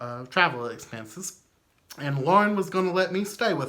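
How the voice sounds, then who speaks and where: Here a man talks at a moderate pace with lively intonation. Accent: Southern US. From US South. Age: 30s. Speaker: memorabilia collector. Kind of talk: casual storytelling. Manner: animated.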